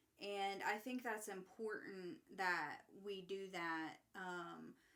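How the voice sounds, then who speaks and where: Her voice is bright and sharp, medium in pitch with ordinary pitch variation, and she speaks at a very slow pace. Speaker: podcast host. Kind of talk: casual chat. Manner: halting.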